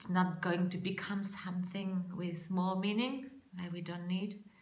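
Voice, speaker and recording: A woman speaks with monotone, flat intonation. Audible room echo and noticeable background noise come through. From France. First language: French. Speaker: public speaking coach. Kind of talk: vlog monologue. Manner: halting.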